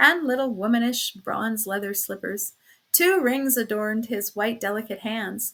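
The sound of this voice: What we hear is an unforced reading voice.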